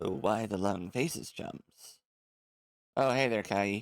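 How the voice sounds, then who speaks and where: Doing a put-on character voice, a man sounds raspy and fairly low-pitched, speaking at a fairly slow pace with ordinary pitch variation. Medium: game stream. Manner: smug, showy.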